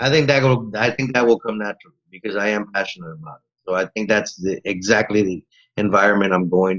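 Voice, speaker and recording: With an American accent, a man talks at a fairly quick pace in a normal speaking voice, fairly low in pitch. His pitch variation is ordinary, while his loudness swings widely. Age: 40s. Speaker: teacher-training student. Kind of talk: casual interview.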